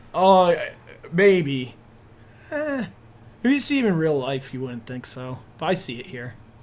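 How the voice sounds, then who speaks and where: Pausing long and often, a man speaks at a fairly slow pace and a fairly high pitch, with very wide pitch swings and big swings in loudness. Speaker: streamer and podcast co-host. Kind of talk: casual chat. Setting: live stream.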